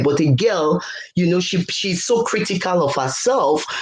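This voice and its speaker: Amid audible room echo, a woman speaks at a moderate pace and fairly low pitch with lively intonation. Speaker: leadership coach. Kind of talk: interview.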